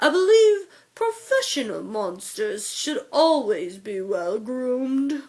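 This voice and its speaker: At a fairly slow pace, a woman uses a put-on character voice with a high pitch and very wide pitch swings. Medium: read story. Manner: refined, courteous.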